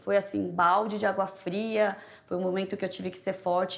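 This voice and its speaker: This woman's voice has a medium pitch. She moves along at a fairly quick pace. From Brazil, Korean immigrant family. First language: Korean (speaking Portuguese). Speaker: prosecutor. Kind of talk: interview testimony.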